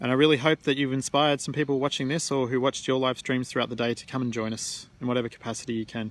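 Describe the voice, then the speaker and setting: Racing at a very fast pace with hardly any pauses, a man with an Australian accent talks at medium pitch in a flat, monotone way. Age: 30s. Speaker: climate activist. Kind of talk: livestream monologue. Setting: outdoors, suspended in a tree at night.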